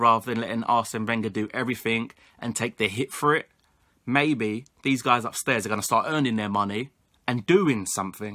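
Against a quiet background, a man with a London accent speaks at a moderate pace in a medium pitch, his tone bright and sharp and his pitch variation ordinary. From England (London area). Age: 20s. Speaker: football YouTuber. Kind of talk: solo opinion vlog. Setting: home recording to camera. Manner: animated. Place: home room. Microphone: webcam.

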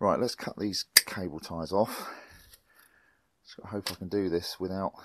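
Dry and free of echo, the recording captures a man with a very deep, low pitch speaking at a moderate pace. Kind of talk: tutorial. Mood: light-hearted, joking. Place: workshop. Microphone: lapel.

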